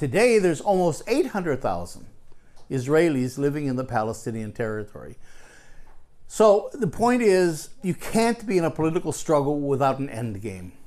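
Speaking with an American accent, a man uses a fairly high pitch. His pitch swings very widely at a moderate pace. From Minnesota, US. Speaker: anthropologist and activist. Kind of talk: live interview. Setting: stage with audience.

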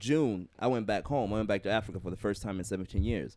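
On a very clean recording with a silent background, a man talks at a fairly quick pace in a fairly low voice. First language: not English. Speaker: podcast co-host. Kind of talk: casual chat.

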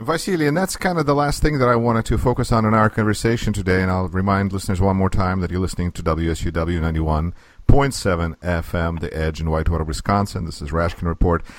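With hardly any pauses, a man with a very deep, low pitch talks at a fairly quick pace using lively intonation. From Russia. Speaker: radio host. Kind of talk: interview.

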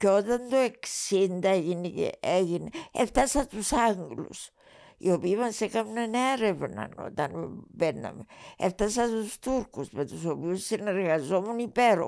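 A dark, mellow tone from a woman, in a very clean recording against a silent background. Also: medium pitch for a woman, lively intonation, fairly slow pace. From Cyprus. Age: 80s+. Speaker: retired TV writer and director. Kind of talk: interview.

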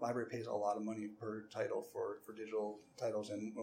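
A man of medium pitch speaks with an American accent. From US Midwest, Cleveland suburbs, Ohio. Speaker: public library director. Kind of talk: podcast interview. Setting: library branch. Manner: halting, many fillers and repeats.

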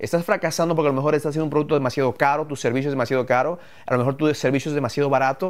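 Fairly high for a man, his voice races at a very fast pace with fairly even intonation. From Ecuador, moved to the US at 11. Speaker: entrepreneur, podcast co-host. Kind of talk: live podcast talk about business.

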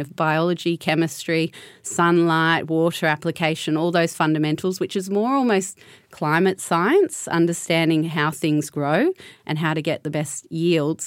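Speaking in an Australian accent with fairly even intonation, a woman with a fairly low pitch is heard in a very clean recording over a silent background. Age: 30s. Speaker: winemaker and consultant. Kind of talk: panel discussion.

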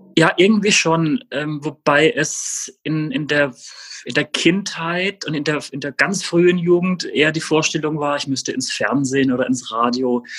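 At a fairly slow pace, a man talks with fairly high pitch and ordinary pitch variation. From Baden-Württemberg, Germany (Rastatt, Baden). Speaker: journalist. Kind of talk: interview. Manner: hesitant, many fillers.

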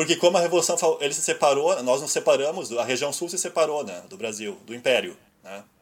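With a Rio Grande do Sul accent, a man speaks at a fairly quick pace in a fairly high pitch marked by vocal fry. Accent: gaúcho. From Rio Grande do Sul, Brazil. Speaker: podcast host and website editor. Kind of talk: casual chat. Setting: Skype call.

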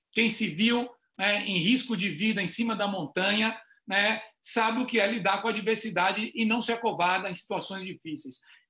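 A man's high-pitched, raised and projected voice, bright and sharp in tone, with ordinary pitch variation. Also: moderate pace. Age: 50s. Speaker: retail consultant. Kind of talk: online panel discussion.

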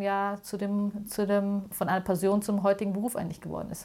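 A woman at a moderate pace and medium pitch. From Munich, Bavaria. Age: 40s. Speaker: museum founder. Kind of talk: interview.

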